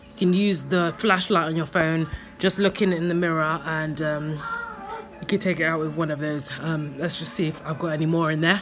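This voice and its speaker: Over clear background music, a woman speaks in a fairly low pitch with monotone, flat intonation. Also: moderate pace. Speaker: vlogger. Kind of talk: casual tutorial vlog chat. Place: home room. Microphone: phone near.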